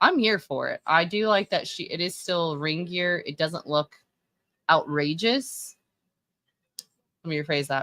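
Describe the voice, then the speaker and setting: A woman with an American accent speaks at a fairly slow pace and a fairly low pitch, with a bright, sharp tone and ordinary pitch variation. Long, frequent pauses break up her speech, and the sound is dry and close with no echo. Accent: Texan accent, shows when nervous. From Texas. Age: 30s. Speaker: livestreamer and fashion commentator. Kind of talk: casual live-stream commentary. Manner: casual, halting with many fillers.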